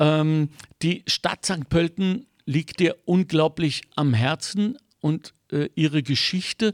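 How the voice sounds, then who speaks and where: A man talks very slowly with ordinary pitch variation, the sound dry and close with no echo. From Germany. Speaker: podcast host. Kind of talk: interview.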